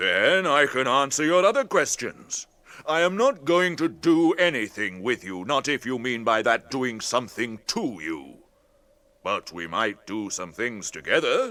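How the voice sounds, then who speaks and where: A man uses a put-on character voice at medium pitch and a moderate pace. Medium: audio drama. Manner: slow, deliberate, musing.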